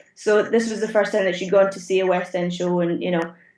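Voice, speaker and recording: A woman with a Scottish accent at a fairly quick pace. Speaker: theatre automation technician. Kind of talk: interview answer.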